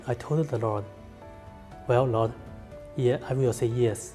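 A man speaks with a Chinese accent and ordinary pitch variation. Faint music plays in the background. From China. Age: 30s. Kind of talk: personal testimony to camera. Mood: calm, sincere. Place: home room.

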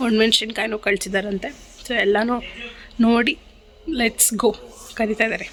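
A woman with a fairly high voice speaks with monotone, flat intonation. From Karnataka, India (Bengaluru). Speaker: vlogger. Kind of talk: casual vlog.

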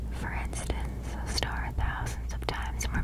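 A soft-spoken woman whispers over loud background noise. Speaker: ASMR creator. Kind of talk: soft-spoken educational ASMR. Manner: soft close-mic whisper. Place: home room. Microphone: studio mic.

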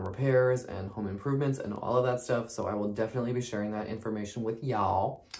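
A man talks at a fairly quick pace, his intonation fairly even. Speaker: vlogger. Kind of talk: casual vlog chat. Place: home room. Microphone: phone near.

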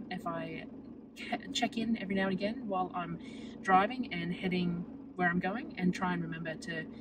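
There is noticeable background noise, though the sound is dry with no echo. A woman speaks at a moderate pace. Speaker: vlogger. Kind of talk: casual vlog chat. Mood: relaxed, chatty. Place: car. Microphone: phone near.

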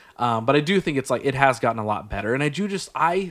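There is a quiet background as the man speaks. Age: 30s. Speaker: podcast host. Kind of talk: casual interview chat. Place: studio. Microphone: studio mic.

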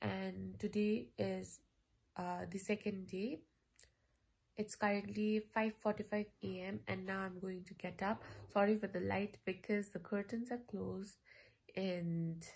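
With fairly even intonation, a woman talks at a fairly slow pace. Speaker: vlogger. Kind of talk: casual vlog chat. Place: home room. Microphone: phone near.

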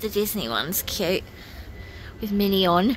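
Dry with no echo and some light background noise, the recording has a woman speaking at a fairly slow pace with fairly even intonation. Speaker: shopping vlogger. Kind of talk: casual vlog chat. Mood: delighted, cooing. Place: shop. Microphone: phone near.

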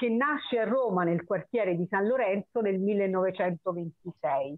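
A woman talks at a moderate pace with lively intonation. Her loudness stays very even, and the sound is dry with no echo. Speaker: poetry reading host. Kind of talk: event introduction and poet presentation. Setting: online video call. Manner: hesitant, many filler sounds. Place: home room. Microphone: video call.

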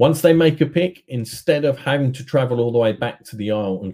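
Speaking at a moderate pace, a man with a medium pitch and a dark, mellow tone uses lively intonation.

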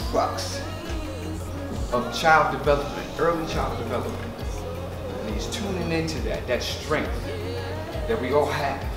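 Over clear music in the background and audible room echo, a man with an American accent speaks at a moderate pace with long, frequent pauses. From Brooklyn, New York. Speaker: performer and percussion workshop teacher. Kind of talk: talk at a community presentation. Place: kitchen.

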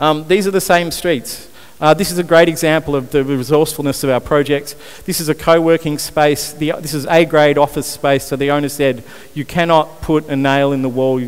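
A man talks at a fairly quick pace in an Australian accent. His pitch sits fairly high, and his intonation stays fairly even. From Australia, Newcastle NSW. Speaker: urban renewal founder, conference speaker. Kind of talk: conference talk. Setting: stage with audience, microphone. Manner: hesitant with frequent fillers. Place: stage. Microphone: headset.

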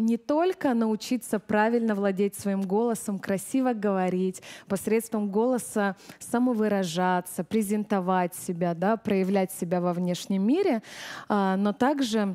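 Against a quiet background, a woman with a dark, mellow tone speaks at a fairly slow pace, with ordinary pitch variation and very even loudness. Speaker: vocal teacher giving seminar. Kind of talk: lecture. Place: hall. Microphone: headset.

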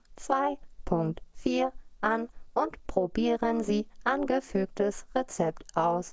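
A robotic put-on character voice. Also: female-sounding voice. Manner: emotionless, mechanical.

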